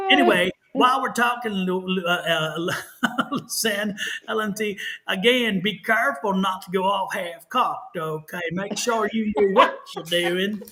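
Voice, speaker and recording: A man with a high pitch and a Texan accent speaks in a raised, projected voice. His pace is fairly slow over noticeable background noise. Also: ordinary pitch variation. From Texas. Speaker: tarot reader. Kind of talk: live stream tarot readings. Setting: live stream.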